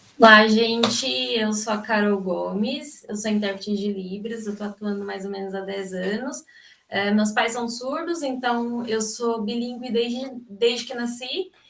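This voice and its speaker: Fairly slow and fairly high-pitched, a woman speaks with hardly any pauses and ordinary pitch variation. Noticeable noise sits in the background. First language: Brazilian Sign Language (speaking Portuguese). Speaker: sign language interpreter. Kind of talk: seminar talk. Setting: video call.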